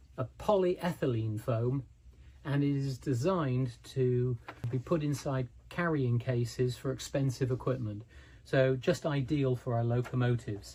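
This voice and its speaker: The voice has a dark, mellow tone and is somewhat breathy, moving at a fairly slow pace with ordinary pitch variation. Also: man, medium pitch for a man. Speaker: model railway hobbyist YouTuber. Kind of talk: tutorial. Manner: relaxed, conversational with fillers.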